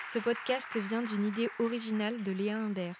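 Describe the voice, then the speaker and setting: A woman talks in a monotone with flat intonation. The sound is dry and close with no echo, and the recording is very clean over a silent background. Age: 20s. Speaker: conference organizer and podcast host. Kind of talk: scripted narration. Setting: live conference with audience. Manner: halting.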